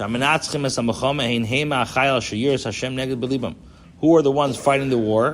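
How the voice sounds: A man talks at a fairly quick pace, his medium pitch rising and falling in an ordinary way.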